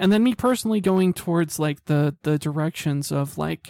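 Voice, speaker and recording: The sound is dry and close, with no echo. A man speaks with an American accent at a fairly high pitch. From Utah, Salt Lake City. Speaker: artist. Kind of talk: casual chat. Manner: halting.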